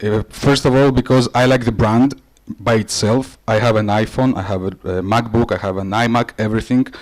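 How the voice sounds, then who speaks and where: With a Greek accent, a man speaks at a moderate pace and medium pitch, his intonation fairly even. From Greece or Cyprus. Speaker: creative director and conference presenter. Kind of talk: conference presentation. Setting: conference stage with audience. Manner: hesitant, many fillers.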